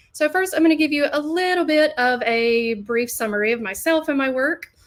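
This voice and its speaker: At a moderate pace, a woman talks with a Southern US accent and ordinary pitch variation. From US South, Alabama. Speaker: learning designer. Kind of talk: webinar presentation. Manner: hesitant, many fillers.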